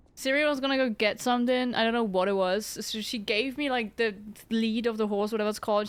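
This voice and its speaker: Speaking with a non-native accent, a woman talks at a fairly quick pace and fairly high pitch. Her pitch variation is ordinary, and the recording is very clean with a silent background. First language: not English. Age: 20s. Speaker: streamer. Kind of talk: casual chat. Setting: live stream.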